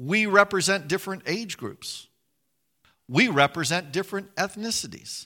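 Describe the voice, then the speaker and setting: Projecting his voice in an American accent, a man with a high pitch and a bright, sharp tone speaks at a moderate pace on a very clean recording with a silent background. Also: ordinary pitch variation. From West Virginia. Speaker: pastor. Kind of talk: sermon. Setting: church. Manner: repeats words when starting sentences.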